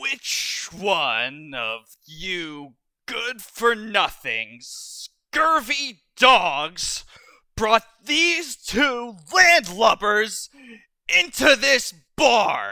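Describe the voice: Putting on a character voice, a man uses a gruff, gravelly, menacing tone, raised and projected, at an extremely high pitch and a very slow pace.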